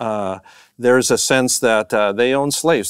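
Over a quiet background with a dry sound and no echo, a man with a normal speaking voice talks at a moderate pace with fairly even intonation. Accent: Canadian. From Canadian prairies. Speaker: professor and minister; professor, minister. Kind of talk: conversational lecture. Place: studio.

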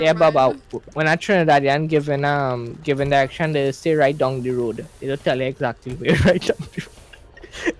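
A man with a Trinidadian accent and fairly high pitch, moderate pace and fairly even intonation, in a dry, echo-free sound with light background noise. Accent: Caribbean island accent, Trinidadian. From Trinidad, East Indian heritage. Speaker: co-op game player on voice chat. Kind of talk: casual gaming commentary. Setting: online voice chat. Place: home room.

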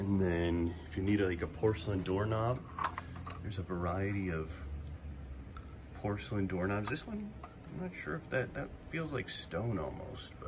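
A man with a very deep, low voice talks at a moderate pace with ordinary pitch variation. Long, frequent pauses break his speech, and noticeable background noise is present. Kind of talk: casual vlog chat. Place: shop. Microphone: phone near.

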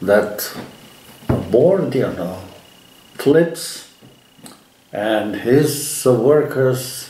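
Audible room echo and light background noise surround a man as he talks. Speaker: storyteller, interviewee. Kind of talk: interview answer, anecdote telling. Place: home room.

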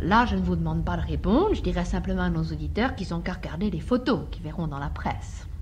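A woman speaks at a very fast pace, with hardly any pauses. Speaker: radio host. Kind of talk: radio interview questions. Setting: radio studio.

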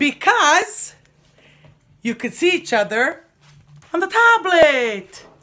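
A woman speaks at a very slow pace in a raised, projected voice. Her pitch swings very widely. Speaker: comedian acting out a skit. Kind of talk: comic monologue with impressions. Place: home room. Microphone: phone near.

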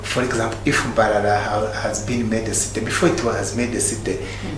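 A man speaks at a moderate pace amid noticeable background noise, with audible room echo. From Uganda. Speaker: real estate consultant. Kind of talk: interview. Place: studio.

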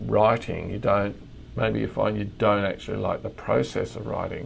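Moderate pace from a man with an Australian accent. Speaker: crime novelist. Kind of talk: casual interview. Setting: remote call.

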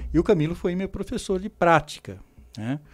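Lively intonation colors a man's speech at a moderate pace. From Brazil. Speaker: podiatry teacher. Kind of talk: interview. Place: studio. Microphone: studio mic.

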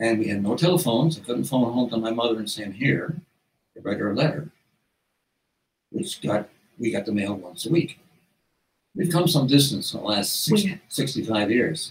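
Moving at a moderate pace, a man speaks in a somewhat breathy voice with very wide pitch swings and long, frequent pauses. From Newfoundland, Canada. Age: 80s+. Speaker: retired family physician and author. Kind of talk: interview answer. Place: home room.

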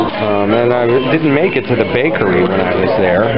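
A man talks at a moderate pace as music plays in the background. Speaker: potter vlogger at dinner. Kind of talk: casual vlog chat. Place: cafe. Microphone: phone near.

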